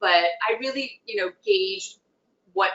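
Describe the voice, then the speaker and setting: A woman speaks in an ordinary speaking voice at a fairly slow pace, with ordinary pitch variation. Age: 60s. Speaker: geriatric dentist. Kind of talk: interview.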